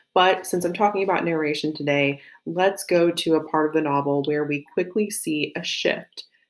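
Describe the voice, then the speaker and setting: Speaking at a moderate pace with a slight Southern US accent, a woman uses a fairly low pitch and fairly even intonation. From US South. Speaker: teacher. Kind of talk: lecture.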